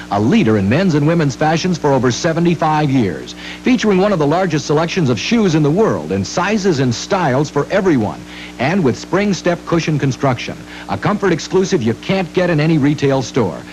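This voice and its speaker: Music plays in the background as a man talks. His pace is fairly quick and his intonation lively. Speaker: presenter. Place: studio.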